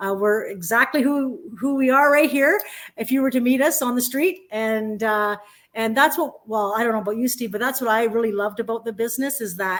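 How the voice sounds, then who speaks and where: A woman with a Canadian accent speaks in an ordinary speaking voice at a fairly high pitch and fairly quick pace with ordinary pitch variation, on a very clean recording with a silent background. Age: 50s. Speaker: online business promoter, former educator. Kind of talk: casual live-stream chat. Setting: live broadcast.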